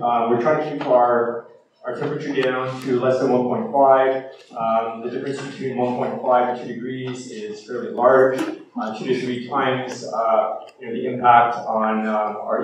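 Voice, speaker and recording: Strong room echo and light background noise surround the recording. A man speaks at a fairly slow pace with fairly even intonation. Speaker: speaker. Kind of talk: lecture. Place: hall.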